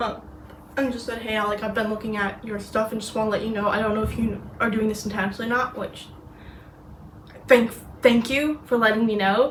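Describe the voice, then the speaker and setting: A woman with an American accent speaks at a fairly high pitch, with audible room echo. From US and Britain. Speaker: knitting vlogger. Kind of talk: casual vlog. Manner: halting, many fillers.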